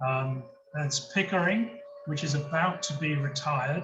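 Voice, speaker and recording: Audible room echo surrounds a man with a British accent who talks at a fairly slow pace, with a fairly high pitch and fairly even intonation. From UK. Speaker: nuclear industry consultant. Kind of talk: lecture. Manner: halting, many fillers and repeats.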